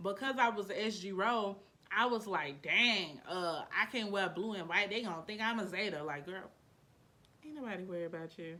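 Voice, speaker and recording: Over noticeable background noise, a woman talks at a moderate pace in an animated tone. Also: medium pitch for a woman, ordinary pitch variation. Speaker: YouTuber. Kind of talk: testimony. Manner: casual, animated.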